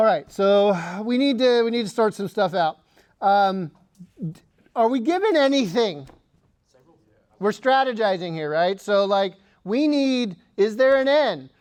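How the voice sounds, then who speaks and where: Against a quiet background, a man speaks at a high pitch and a fairly slow pace, animated in tone, with lively intonation and long, frequent pauses. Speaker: physics teacher. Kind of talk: lecture. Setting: classroom.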